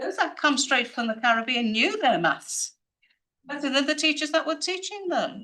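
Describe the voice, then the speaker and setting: Raised and projected, a woman's high voice in a Liverpool accent moves at a moderate pace with very wide pitch swings and a bright, sharp tone. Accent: Liverpool (Scouse) English. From northern England, Liverpool. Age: 70s. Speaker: community advocate. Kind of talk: audience question at media briefing. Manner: rambling, conversational.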